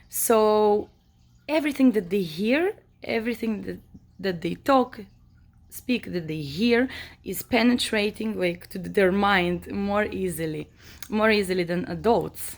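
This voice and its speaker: Using an Israeli accent, a woman speaks at a fairly slow pace and medium pitch with lively intonation. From Israel, born in Moldova. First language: Hebrew. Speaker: vlogger. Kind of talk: personal monologue. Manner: hesitant, many fillers.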